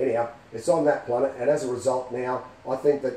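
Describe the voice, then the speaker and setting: Here a man speaks with an Australian accent. His pace is fairly quick. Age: 50s. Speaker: film fan. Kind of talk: casual fan theory talk to camera.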